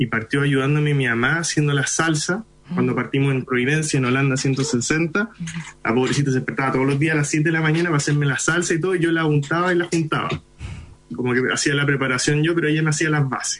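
With a Chilean accent, a man speaks at a very fast pace in a fairly high pitch, keeping very even loudness and fairly even intonation. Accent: Chilean Spanish, very local. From Chile (Iquique), Indian parents. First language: Hindi (speaking Spanish). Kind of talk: interview.

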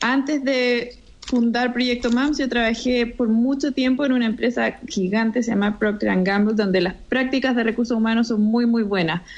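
An ordinary speaking voice from a woman, fairly high in pitch, at a moderate pace with fairly even intonation, very even loudness and hardly any pauses. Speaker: entrepreneur, co-founder. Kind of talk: interview.

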